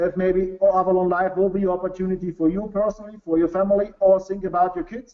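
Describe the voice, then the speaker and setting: Very fast and flat, a man with a German accent speaks in a monotone at a high pitch. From Bavaria, Germany. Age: 40s. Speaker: business executive. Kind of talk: sales pitch. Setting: webinar. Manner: halting.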